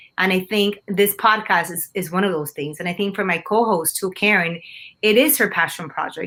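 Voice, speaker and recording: A woman speaks in a Spanish accent. Her pace is fairly quick. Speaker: TV news anchor. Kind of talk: interview.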